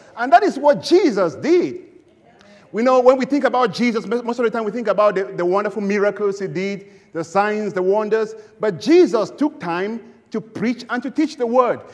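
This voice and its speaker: A man talks at a moderate pace with a high pitch and lively intonation. Background noise is noticeable. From Cameroon. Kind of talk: sermon. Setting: church.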